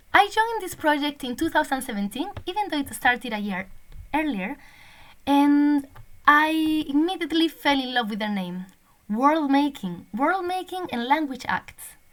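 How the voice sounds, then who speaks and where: A woman with a Spanish accent speaks at a high pitch and a moderate pace, with very wide pitch swings, big swings in loudness, and long, frequent pauses. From Spain. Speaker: language teacher and PhD researcher. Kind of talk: recorded conference presentation. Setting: online conference recording.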